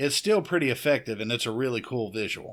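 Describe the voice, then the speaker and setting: Recorded very cleanly over a silent background, a man with a Southern US accent speaks at a medium pitch with lively intonation. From US South. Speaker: horror podcast host. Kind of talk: film review podcast monologue. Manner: casual.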